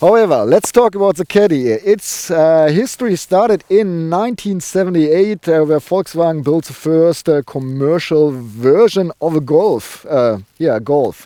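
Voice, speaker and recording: A man with a strong German accent, a high pitch and a dark, mellow tone, lively intonation at a moderate pace with hardly any pauses, in a dry, close sound with no echo. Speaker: car reviewer, show host. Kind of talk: car review presentation. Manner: halting, many fillers.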